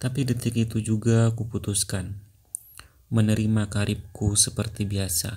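A man with fairly low pitch and a dark, mellow tone speaks in a somewhat breathy, flat monotone at a moderate pace. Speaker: audiobook narrator. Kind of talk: audiobook narration.

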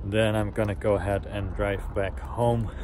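Noticeable background noise accompanies a man speaking at a moderate pace, the sound dry with no echo. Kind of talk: casual vlog chat. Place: street. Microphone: phone near.

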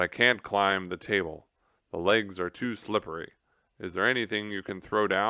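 Plain reading aloud in a quiet background.

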